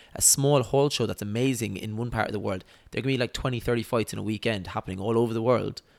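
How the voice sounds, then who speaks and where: This man has a southern Irish accent. He talks at a very fast pace. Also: medium pitch for a man, fairly even intonation, very clean recording, silent background. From Ireland, Waterford (south). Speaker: professional boxer. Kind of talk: casual interview chat.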